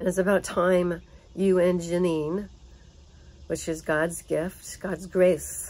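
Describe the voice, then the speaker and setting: Speaking very slowly in an American accent, a woman with a fairly low voice keeps a flat, monotone intonation. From United States. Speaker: vlogger. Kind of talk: personal monologue. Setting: home. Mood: earnest, emotional. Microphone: phone near.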